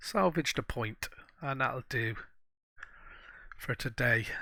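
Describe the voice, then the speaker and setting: Against a silent background in a very clean recording, a man speaks with a bright, sharp tone. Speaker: gaming YouTuber. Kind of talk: game commentary. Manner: halting.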